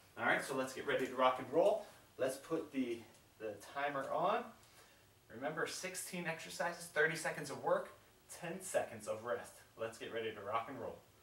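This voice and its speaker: In an upbeat tone, a man talks at a moderate pace. He leaves long, frequent pauses, and audible room echo can be heard. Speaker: fitness instructor. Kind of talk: guided follow-along workout tutorial. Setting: home workout video, demonstrating exercises. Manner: upbeat, encouraging, coaching with countdown cues; casual, conversational, with fillers. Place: home room. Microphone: camera far.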